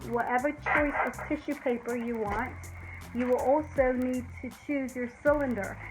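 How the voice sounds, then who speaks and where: Over noticeable background noise, a woman speaks at a high pitch and a fairly slow pace with fairly even intonation. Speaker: DIY home decor YouTuber. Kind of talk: tutorial. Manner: warm, conversational.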